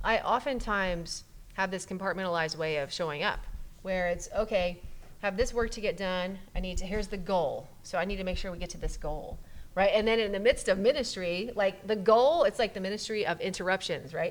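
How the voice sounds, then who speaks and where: At a fairly quick pace, a woman speaks at a medium pitch with ordinary pitch variation. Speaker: pastor and podcast host. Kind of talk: casual chat. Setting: church coffee area. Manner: fast.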